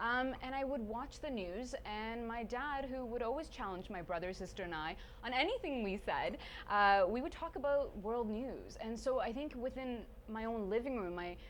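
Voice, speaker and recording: With audible room echo, a woman with a Canadian accent speaks at a moderate pace, her fairly high pitch carrying lively intonation. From Sweden, then Stratford, Ontario. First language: Swedish. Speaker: TV journalist and presenter. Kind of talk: casual interview. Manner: animated.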